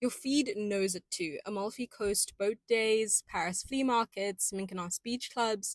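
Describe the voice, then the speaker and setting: An unremarkable speaking voice talks at a moderate pace with ordinary pitch variation. The sound is dry and close, with no echo. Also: woman. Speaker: podcast host. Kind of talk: pop culture podcast monologue. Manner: upbeat, playful.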